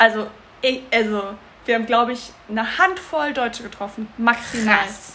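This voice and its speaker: Against noticeable background noise, a woman with a fairly high pitch talks at a moderate pace with ordinary pitch variation. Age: 30s. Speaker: podcast co-host. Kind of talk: casual chat. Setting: in person at co-host's home.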